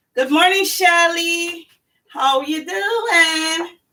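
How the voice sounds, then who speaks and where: The voice is raised and projected, with a bright, sharp tone. Its pitch swings very widely. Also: woman. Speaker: cooking channel host. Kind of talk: live cooking demonstration. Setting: home kitchen, live stream. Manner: casual, chatty.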